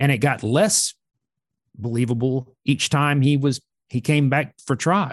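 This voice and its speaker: Speaking at a fairly slow pace, a man uses a plain, everyday voice with a fairly high pitch and very even loudness. The sound is dry and close with no echo against a quiet background. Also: ordinary pitch variation. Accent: American. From US South, Georgia (Atlanta area). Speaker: author, journalist. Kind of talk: interview.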